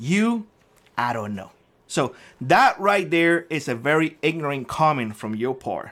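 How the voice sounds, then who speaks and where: A man with a Cuban accent and a fairly high pitch speaks at a moderate pace with lively intonation in a very clean recording with a silent background. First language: Spanish. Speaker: prepping YouTuber. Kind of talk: angry rant to camera.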